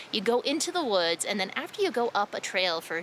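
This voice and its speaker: A woman's pitch leaps and dips very widely while noticeable noise sits in the background. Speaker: travel vlogger. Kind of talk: travel vlog narration.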